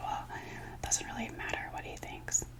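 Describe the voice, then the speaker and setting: A whispering woman amid noticeable background noise. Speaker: ASMR creator and video diarist. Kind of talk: casual talk to camera, personal video diary. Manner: emotional, candid, venting.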